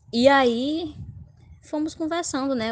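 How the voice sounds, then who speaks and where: A woman talks at a very slow pace. Her pitch variation is ordinary and the background is quiet. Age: 20s. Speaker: law student. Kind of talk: casual interview.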